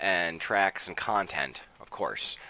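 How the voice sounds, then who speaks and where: A man is speaking. His pace is fairly slow. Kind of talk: casual gameplay review. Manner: casual, many filler words.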